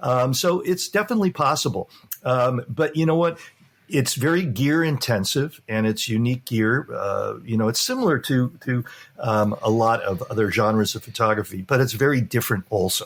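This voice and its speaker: Using lively intonation, a man with a Californian accent speaks at a moderate pace and medium pitch. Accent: General American, Californian. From Los Angeles, US West Coast. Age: 60s. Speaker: real estate photographer. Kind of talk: podcast interview. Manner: halting, many fillers.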